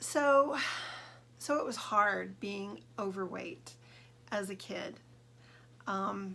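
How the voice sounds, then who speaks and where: A woman speaks with an American accent. Room echo is audible. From Southern California. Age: 60s. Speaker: vlogger. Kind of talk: personal vlog monologue. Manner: hesitant, many fillers.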